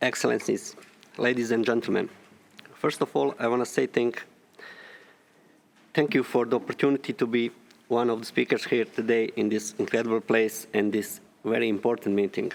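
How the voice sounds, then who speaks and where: With a Bosnian accent, a man at medium pitch talks at a fairly quick pace with long, frequent pauses, very even loudness and fairly even intonation. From Bosnia and Herzegovina. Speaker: landmine survivor and ex-deminer. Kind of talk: formal speech.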